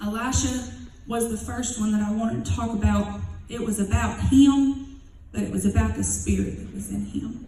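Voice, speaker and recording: Speech proceeds at a moderate pace, with noticeable background noise present. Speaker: preacher. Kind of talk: sermon. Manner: animated.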